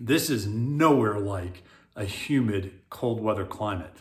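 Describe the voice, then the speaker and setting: Speaking with an American accent, the voice is somewhat breathy and has lively intonation, with audible room echo around it. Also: man. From US South, South Florida. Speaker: real estate agent, retired military. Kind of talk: casual video monologue.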